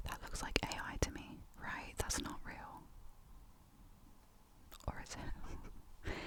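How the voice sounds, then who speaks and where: Whispering from a woman amid noticeable background noise. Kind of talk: casual chatty ASMR ramble. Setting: studio, close mic. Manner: whispered, soft.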